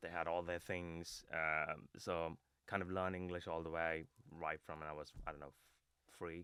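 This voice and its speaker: A man speaks at a moderate pace in a very deep, low voice. His tone is bright and sharp, and his intonation is monotone and flat. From India (Kerala, South India). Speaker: fintech fraud prevention leader. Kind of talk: podcast interview. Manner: halting, many fillers and restarts.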